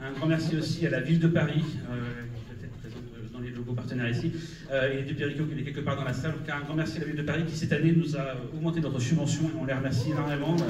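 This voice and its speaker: Amid noticeable background noise and audible room echo, a man with a fairly high pitch talks at a very fast pace in fairly even intonation. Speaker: film festival director. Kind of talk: opening speech. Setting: cinema stage with audience.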